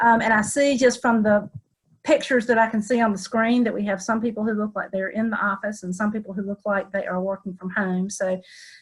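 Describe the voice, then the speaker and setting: With a Southern US accent, a woman talks at a fairly quick pace in a medium pitch, somewhat breathy and with fairly even intonation. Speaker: attorney. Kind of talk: webinar presentation.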